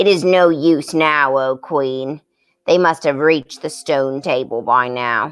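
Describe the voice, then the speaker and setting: A put-on character voice with a low-to-middle pitch, delivered at a fairly slow pace. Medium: read story. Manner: low-toned, wary.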